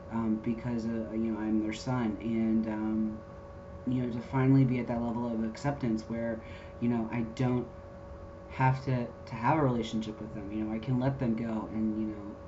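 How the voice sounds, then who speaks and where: A man talks in a monotone, flat delivery. Noticeable background noise and audible room echo fill the recording. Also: medium pitch for a man, moderate pace. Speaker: vlogger. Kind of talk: personal vlog update. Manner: many fillers, talkative.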